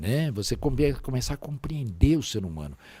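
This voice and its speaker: The voice is somewhat breathy with a dark, mellow tone and a moderate pace. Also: man. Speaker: voice actor. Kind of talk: interview answer.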